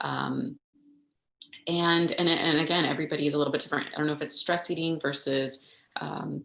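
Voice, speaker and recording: A woman talks at a fairly quick pace with vocal fry. Her very deep, low voice keeps a fairly even intonation. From Texas, El Paso. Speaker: physician. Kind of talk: Q&A talk. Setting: livestream. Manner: fast.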